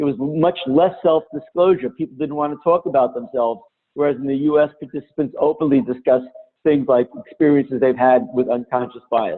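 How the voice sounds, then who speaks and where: With a New Jersey accent, a man talks at a fairly quick pace, his fairly high pitch showing ordinary variation. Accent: New Jersey (Jersey City). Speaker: diversity and intercultural trainer. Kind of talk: webinar lecture. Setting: online webinar.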